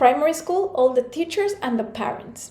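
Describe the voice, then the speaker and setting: A woman with a Spanish accent and lively intonation. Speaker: motivational speaker. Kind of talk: talk.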